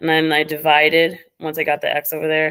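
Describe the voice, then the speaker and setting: On a very clean recording with a silent background, a woman speaks at a fairly quick pace in a very deep, low pitch. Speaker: math tutor. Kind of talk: tutorial. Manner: fast.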